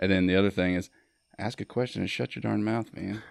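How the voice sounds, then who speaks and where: With fairly even intonation and a fairly low pitch, a man talks at a fairly quick pace. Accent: Mississippi. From US South, Mississippi (Starkville). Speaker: Marine veteran and filmmaker. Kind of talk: podcast interview.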